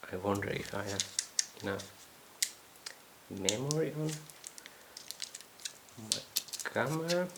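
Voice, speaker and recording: A soft-spoken woman's very deep, low voice, very slow and broken by long, frequent pauses, with very wide pitch swings over noticeable background noise. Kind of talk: unboxing video.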